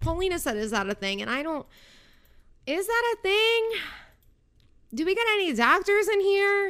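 A woman speaks at an extremely high pitch with a bright, sharp, animated tone and lively intonation. Her moderate pace is broken by long, frequent pauses. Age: 20s. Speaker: podcast host. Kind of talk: casual chat.

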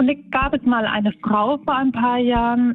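Noticeable background noise behind a woman's high voice at a moderate pace. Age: 30s. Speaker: tram driver. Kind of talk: interview.

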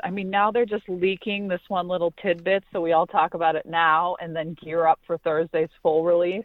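Speaking in an American accent, a woman has a normal speaking voice at a fairly low pitch. She keeps a moderate pace and fairly even intonation. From Pittsburgh, Pennsylvania. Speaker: sports reporter and co-host. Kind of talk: casual sports talk. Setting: remote from Pittsburgh, quiet spot.

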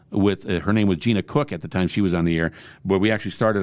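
A man with a plain, everyday voice and an American accent speaks at a fairly low pitch with lively intonation. The recording is very clean with a silent background. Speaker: radio host. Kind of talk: casual chat.

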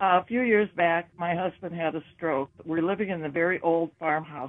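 A woman's fairly low pitch, with ordinary pitch variation, carries her speech at a moderate pace. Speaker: caller. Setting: phone call. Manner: nervous.

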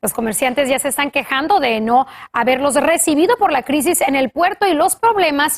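A woman talks at a fairly quick pace with lively intonation and a high pitch. The sound is dry and close, with no echo. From Los Angeles, US, Mexican-American. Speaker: news anchor. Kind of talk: news reading.

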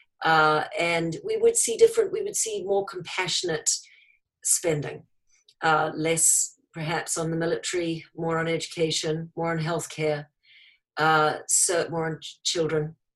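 A woman with a New Zealand accent talks at a fairly slow pace in a monotone, flat intonation. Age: 50s. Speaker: entrepreneur, company founder. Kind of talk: interview.

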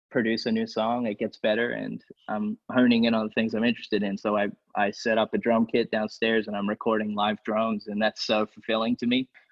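At a fairly quick pace, a man of medium pitch talks in a monotone with flat intonation. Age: 20s. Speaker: songwriter and music producer. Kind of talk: casual chat.

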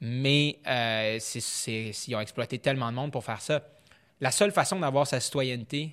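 In a very clean recording with a silent background, a man with a Quebec accent speaks at a moderate pace in a bright, sharp tone. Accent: Québécois French. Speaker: foreign correspondent journalist. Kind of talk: casual interview conversation.

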